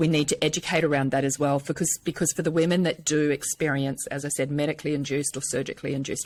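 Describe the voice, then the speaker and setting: A woman's very deep, low voice in a New Zealand accent, fairly even in intonation, on a very clean recording with a silent background. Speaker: menopause speaker and personal trainer. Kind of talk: podcast interview.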